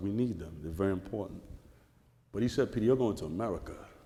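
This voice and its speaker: A man's dark, mellow voice with ordinary pitch variation and audible room echo. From Caribbean islands. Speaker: author and journalist. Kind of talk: onstage interview. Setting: stage with audience. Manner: animated.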